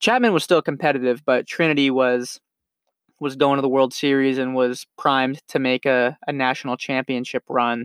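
A man with an unremarkable speaking voice and a General American accent speaks at a medium pitch and moderate pace with fairly even intonation, in a dry, close sound with no echo. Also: very clean recording, silent background. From Nevada, Las Vegas area. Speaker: podcast host, college baseball player. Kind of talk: personal monologue. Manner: casual, repetitive fillers.

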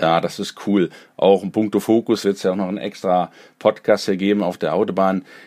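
On a very clean recording with a silent background, a man with a fairly low pitch and a dark, mellow tone talks at a fairly quick pace in a monotone, flat intonation. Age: 40s. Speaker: podcast host. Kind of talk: interview.

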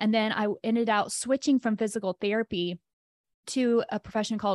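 A woman with an American accent speaks in an ordinary speaking voice, fairly high in pitch and at a fairly quick pace with ordinary pitch variation. The sound is dry and close with no echo, on a very clean recording with a silent background. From US South, rural Tennessee near Chattanooga. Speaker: life coach and personal trainer. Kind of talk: casual interview conversation.

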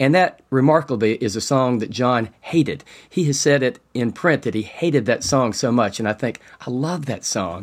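A man with an American accent uses a normal speaking voice, a medium pitch, ordinary pitch variation and a moderate pace. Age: 50s. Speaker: funeral home owner and Beatles fan. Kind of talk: interview.

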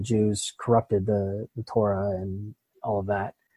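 A man's somewhat breathy, dark, mellow voice in an American accent, at a moderate pace, in a dry, close sound with no echo and a very clean recording with a silent background. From Pittsburgh, US. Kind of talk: interview.

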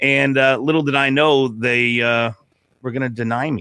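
A man talks at a moderate pace in an unremarkable speaking voice. His pitch varies in an ordinary way. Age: 40s. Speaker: podcaster. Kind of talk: casual chat.

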